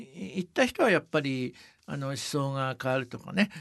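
Over a quiet background, a man with an unremarkable speaking voice talks at a moderate pace, fairly high, with ordinary pitch variation. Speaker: company advisor and travel author. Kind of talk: interview.

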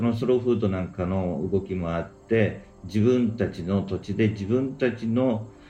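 Lively intonation carries this fairly slow speech, with room echo clearly audible. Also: man, hardly any pauses. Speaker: business planner. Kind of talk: casual chat.

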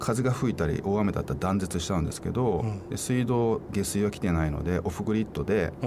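A man talks at a fairly quick pace in a fairly low pitch, with ordinary pitch variation. Noticeable background noise sits behind him. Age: 50s. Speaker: author and environmental advocate. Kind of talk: radio interview.

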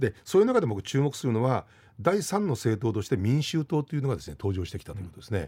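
A man's very fast, somewhat breathy voice at medium pitch, dark and mellow in tone, with very wide pitch swings, on a very clean recording with a silent background. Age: 50s. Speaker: history lecturer and radio news commentator. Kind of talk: explanatory news commentary on radio. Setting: radio studio. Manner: conversational with many fillers.

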